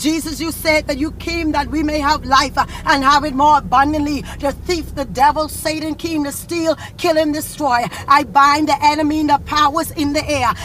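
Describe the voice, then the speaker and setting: Over noticeable background noise, a woman speaks at a high pitch and a moderate pace with an intense tone, monotone, flat intonation, and hardly any pauses. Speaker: prayer leader. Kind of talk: fervent prayer. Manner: fervent, intense, pleading; forceful, commanding when rebuking evil.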